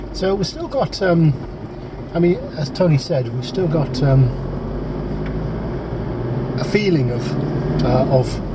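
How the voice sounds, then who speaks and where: Loud background noise sits under a man's voice. He speaks at a very slow pace with ordinary pitch variation. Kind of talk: casual conversation. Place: car. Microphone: camera far.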